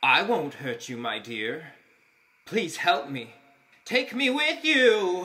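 Doing a put-on character voice, a man speaks very slowly at a high pitch, with very wide pitch swings and long, frequent pauses. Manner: courtly, pleading.

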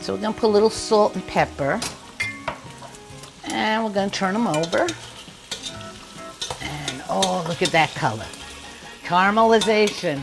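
A woman talks at a moderate pace, leaving long, frequent pauses, with noticeable background noise behind her. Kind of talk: tutorial. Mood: warm, chatty, nostalgic. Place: kitchen. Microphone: lapel.

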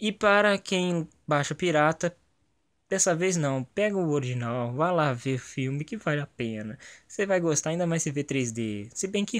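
A man speaks at a moderate pace with lively intonation and a fairly high pitch. The sound is dry and close, with no echo. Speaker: gaming YouTuber giving movie review. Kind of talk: casual video review monologue. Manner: animated.

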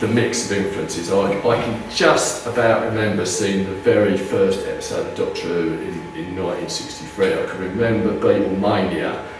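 Speaking at a moderate pace, a man is heard over noticeable background noise with audible room echo. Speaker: author and lecturer. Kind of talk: lecture. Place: meeting room. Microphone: camera far.

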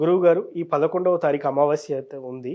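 Over a quiet background comes a normal speaking voice. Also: man. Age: 30s. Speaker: channel interviewer. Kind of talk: interview.

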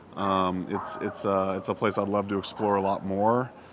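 Recorded dry with no echo and light background noise, a man speaks at a moderate pace. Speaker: vlogger. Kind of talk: casual vlog chat. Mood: enthusiastic, relaxed. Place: open country.

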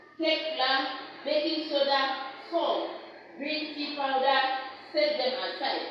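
Amid light background noise and strong room echo, a woman speaks at a very slow pace with high pitch and fairly even intonation. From Nigeria. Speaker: ESL teacher. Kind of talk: classroom lesson. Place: classroom.

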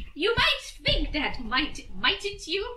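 A woman does a squeaky, put-on character voice over clear background noise.

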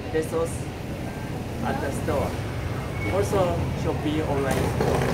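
Loud background noise surrounds a man as he talks. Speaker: fishing tackle shop owner. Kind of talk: product showcase video. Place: home room. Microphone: camera far.

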